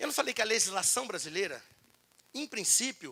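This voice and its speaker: The voice is raised and projected, its tone animated and bright, sharp. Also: man. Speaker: labor law speaker at union event. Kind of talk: lecture. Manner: fast.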